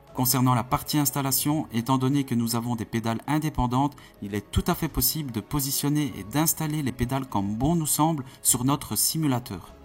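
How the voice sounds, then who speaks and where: A man with a Belgian accent speaks at a moderate pace, somewhat breathy, with hardly any pauses and ordinary pitch variation. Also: medium pitch for a man. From Belgium. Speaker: sim racing youtuber. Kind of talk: product review.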